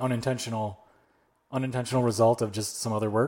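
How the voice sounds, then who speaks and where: This man talks at a medium pitch in an unremarkable speaking voice. His intonation stays fairly even. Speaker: podcast host. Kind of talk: interview, casual conversational.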